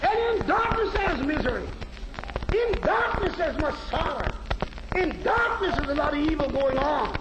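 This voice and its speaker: Loud background noise behind a male speaker at a moderate pace. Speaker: preacher. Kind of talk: sermon. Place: church. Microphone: old recording.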